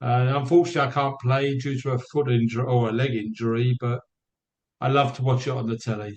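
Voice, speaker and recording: A man with a British accent talks at a very fast pace in a somewhat breathy, medium-pitched voice. His intonation stays fairly even. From England, Barnet, north London. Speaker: theater actor, company founder. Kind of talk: casual interview.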